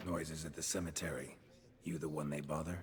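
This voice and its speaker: Over clear background noise, a man puts on a raspy character voice, very deep and low in pitch, with monotone, flat intonation at a fairly quick pace. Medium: video game. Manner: terse, clipped, deadpan.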